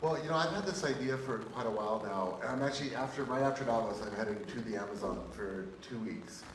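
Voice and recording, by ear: A man's fairly low, fairly quick voice amid audible room echo and clear background noise. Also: ordinary pitch variation.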